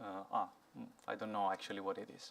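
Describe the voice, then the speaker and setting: A man speaks with an Italian accent. He goes at a very fast pace. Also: very clean recording, silent background. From Italy. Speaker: software engineer, conference speaker. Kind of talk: conference talk. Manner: halting, many fillers.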